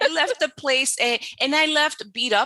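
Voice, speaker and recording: A woman's bright, sharp tone comes through with lively intonation. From Dominican Republic. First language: Spanish. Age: 30s. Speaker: business coach. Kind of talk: podcast interview.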